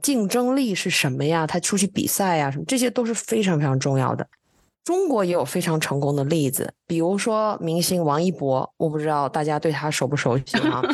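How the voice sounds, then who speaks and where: Over a quiet background, a woman with an ordinary speaking voice, fairly low in pitch, speaks at a fairly quick pace with lively intonation and very even loudness. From China. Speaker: IT executive, education guest. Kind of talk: casual interview.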